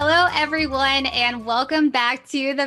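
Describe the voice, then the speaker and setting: A woman's high, raised, projected voice at a fairly slow pace with fairly even intonation, and music in the background. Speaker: podcast host. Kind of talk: podcast intro.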